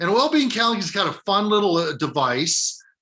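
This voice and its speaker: Against a quiet background, a man speaks in an energetic, bright, sharp tone with very wide pitch swings. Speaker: business school professor. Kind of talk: webinar talk. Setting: online webinar.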